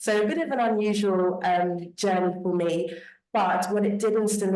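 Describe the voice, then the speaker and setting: A woman's monotone, flat intonation at a moderate pace, with audible room echo. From Britain. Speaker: panelist, diaspora professional. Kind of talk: panel discussion.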